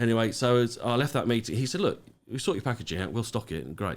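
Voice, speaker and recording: A man with a British accent at a very fast pace. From UK. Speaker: business owner. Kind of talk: podcast interview. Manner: hesitant, many fillers.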